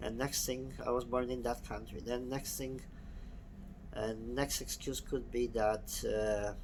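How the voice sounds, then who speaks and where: A man talks fairly slowly, his voice carrying audible room echo. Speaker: personal development vlogger. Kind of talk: personal video monologue.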